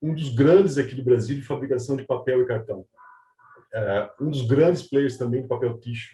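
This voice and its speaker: A somewhat breathy man's voice at medium pitch. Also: ordinary pitch variation, moderate pace. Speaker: panel moderator, R&D director. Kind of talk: moderated webinar introduction.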